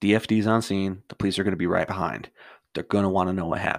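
Against a quiet background, the text is read aloud in a natural voice, its intonation fairly even.

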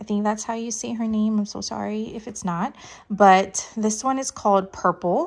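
A woman's fairly high-pitched voice over music in the background. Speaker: crafts hobby youtuber. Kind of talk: casual unboxing chat. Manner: apologetic, chatty.

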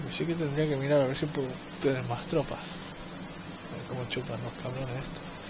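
A man's medium-pitched voice with fairly even intonation, amid audible room echo and noticeable background noise. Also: moderate pace. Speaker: gaming video creator. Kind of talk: let's play commentary. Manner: casual, thinking aloud.

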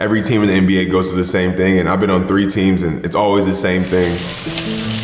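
Someone talks at a very fast pace amid audible room echo, with faint music in the background. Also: man. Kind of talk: interview answer. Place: home room.

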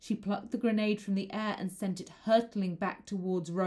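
The intonation remains fairly even as the text is read aloud in a natural voice.

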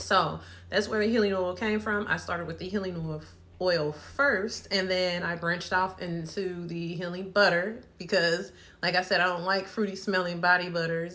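A woman's bright, sharp voice at medium pitch, with fairly even intonation. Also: moderate pace. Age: 30s. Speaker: small business owner and vlogger. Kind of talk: casual vlog product introduction. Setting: home video recording. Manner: casual, with frequent fillers. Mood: relaxed, chatty. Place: home room. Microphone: phone near.

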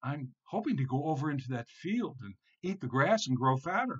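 A man puts on a character voice pitched fairly high, with a fairly bright tone, a slightly husky edge, and big pitch swings. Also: moderate pace.

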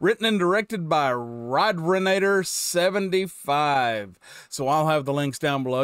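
With a dry, echo-free sound and a quiet background, a man talks in a lively intonation. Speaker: reaction video host. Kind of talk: casual reaction vlog chat. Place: home room. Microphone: headset.

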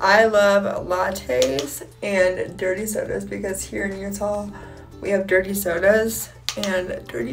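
A woman speaks with an American accent. Clear music plays in the background. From Ohio, USA. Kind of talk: casual talk to camera. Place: home room. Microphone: phone near.

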